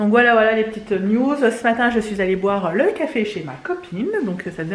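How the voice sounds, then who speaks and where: Intonation is lively as a woman speaks. Background noise is noticeable throughout. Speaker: family vlogger, mother of three. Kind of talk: casual vlog talk to camera. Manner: fast; hesitant, many fillers.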